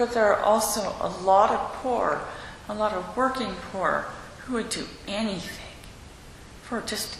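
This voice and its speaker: Noticeable background noise fills the recording. Through it, a woman talks at a fairly slow pace. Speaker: congregation member. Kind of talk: group discussion. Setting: church. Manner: blunt.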